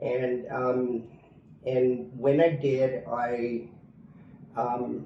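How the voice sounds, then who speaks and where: Audible room echo surrounds a man with a Canadian accent. He speaks at medium pitch with ordinary pitch variation. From Canada. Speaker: expat interviewee. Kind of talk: interview. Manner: halting, many fillers.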